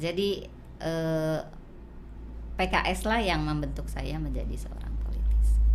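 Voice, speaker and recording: Audible room echo surrounds a woman who speaks at a fairly slow pace with long, frequent pauses. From Cilacap, Central Java, near West Java border. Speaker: politician. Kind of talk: interview.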